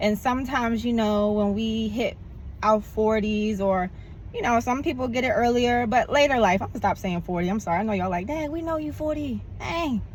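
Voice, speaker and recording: Fairly high female voice, somewhat breathy, moving at a fairly quick pace. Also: ordinary pitch variation. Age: 40s. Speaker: vlogger. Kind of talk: casual vlog monologue. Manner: animated.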